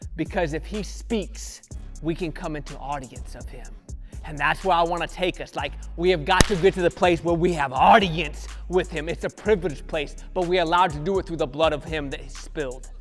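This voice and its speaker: A man talks at a fairly quick pace with big swings in loudness while music plays in the background. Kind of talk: sermon-style motivational talk to camera. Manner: earnest, conversational, preaching.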